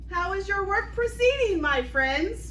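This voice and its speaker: Putting on a squeaky character voice, a woman speaks at a fairly slow pace over clear background noise. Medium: audio drama. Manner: formal, deferential.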